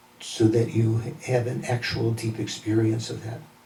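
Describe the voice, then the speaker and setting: Against noticeable background noise and audible room echo, a man with an American accent talks at a medium pitch. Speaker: Buddhist teacher. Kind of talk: lecture.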